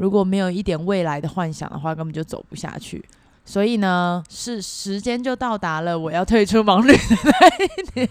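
A woman has a normal speaking voice at a medium pitch and a moderate pace. Her intonation is lively, and her loudness swings widely. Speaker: Taiwanese expat working in Singapore. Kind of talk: casual interview chat.

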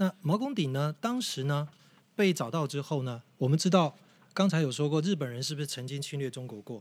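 A man with an unremarkable speaking voice, fairly high in pitch, with lively intonation at a fairly quick pace, in a very clean recording with a silent background. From Taiwan, Yilan. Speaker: tour leader and guide. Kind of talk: casual interview chat, explaining history.

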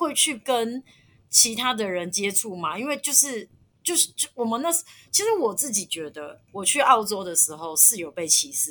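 A woman with a bright, sharp tone and a fairly high pitch speaks at a moderate pace. Her pitch swings very widely and her loudness rises and falls in big swings. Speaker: former working holiday traveller in Australia. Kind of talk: casual chat.

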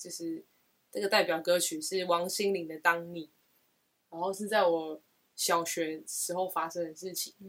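A woman with a Taiwanese accent speaks slowly-ish, at a fairly slow pace, with long, frequent pauses. Her fairly low voice has ordinary pitch variation and big swings in loudness. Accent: Taiwanese Mandarin. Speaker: podcast co-host. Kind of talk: casual chat.

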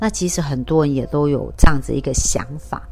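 A woman's very deep, low voice with ordinary pitch variation and a moderate pace. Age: 50s. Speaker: life coach podcaster. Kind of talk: solo podcast talk.

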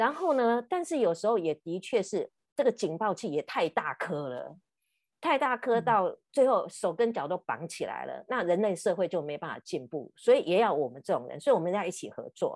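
Against a quiet background, a woman with a medium pitch talks at a moderate pace, her pitch swinging very widely and her loudness rising and falling sharply, in a dry, close sound with no echo. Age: 50s. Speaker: podcast host and counselor. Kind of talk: casual chat.

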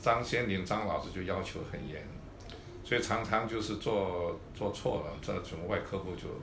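A man talks fairly slowly at a fairly low pitch with ordinary pitch variation. Noticeable background noise and audible room echo fill the recording. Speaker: orthopedic surgeon. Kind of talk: interview. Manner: halting, many fillers and repetitions.

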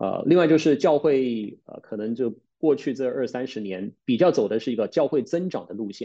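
Dark and mellow in tone, a man talks at a moderate pace with medium pitch and hardly any pauses. His intonation is lively and his loudness swings widely. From Taiwan, with secondary school and university in the UK. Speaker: pastor and theology teacher. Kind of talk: casual chat. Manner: hesitant, many filler sounds.

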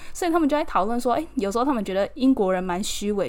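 This voice races along at a very fast pace, its pitch swinging very widely. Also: woman. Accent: Taiwanese. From Taiwan, Keelung. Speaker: podcast host and model. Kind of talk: casual solo podcast monologue.

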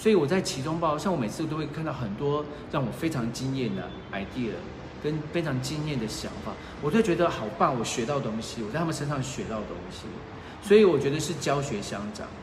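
Speaking at a fairly quick pace, a man with a fairly high pitch uses lively intonation amid noticeable background noise and audible room echo. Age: 40s. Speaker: former journalist and PR manager, online reseller. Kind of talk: casual chat. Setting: livestream in an apartment.

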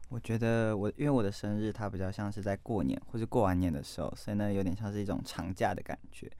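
Very fast in pace, a man talks at a fairly low pitch in a dark, mellow tone with ordinary pitch variation. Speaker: journalism student. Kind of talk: casual chat.

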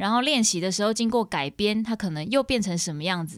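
A woman with an unremarkable speaking voice talks at a fairly quick pace, her pitch medium and her intonation lively. The recording is very clean, with a silent background. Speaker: singer-songwriter. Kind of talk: casual interview chat.

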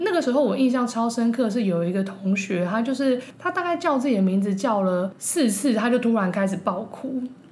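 Amid noticeable background noise and audible room echo, a woman with a fairly high pitch talks fairly quickly with hardly any pauses, lively intonation and very even loudness. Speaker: former advertising copywriter. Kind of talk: casual chat.

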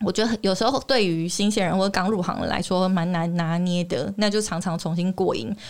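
Despite noticeable background noise, a woman talks at a fairly quick pace with hardly any pauses, at a medium pitch with ordinary pitch variation and very even loudness. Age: 30s. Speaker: TV reporter and author. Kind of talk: interview.

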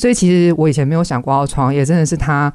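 Her tone comes across as dark and mellow. This woman has a very deep, low pitch. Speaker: entrepreneur. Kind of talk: interview.

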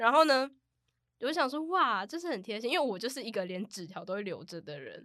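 Fast-ish and bright, a woman speaks at a fairly high pitch in a sharp tone, her pitch swinging very widely, on a very clean recording with a silent background. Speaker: co-host. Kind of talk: casual chat.

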